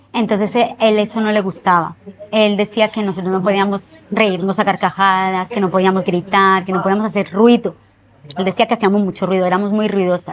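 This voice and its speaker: A woman at a medium pitch speaks with monotone, flat intonation. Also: fairly quick pace. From Colombia, Manizales; moved to Spain at 9. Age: 30s. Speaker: interviewee telling life story. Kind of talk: interview testimony.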